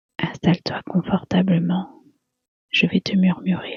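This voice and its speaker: The speaker whispers, soft-spoken and at a very slow pace. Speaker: ASMR narrator. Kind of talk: sleep story. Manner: whispered, soft.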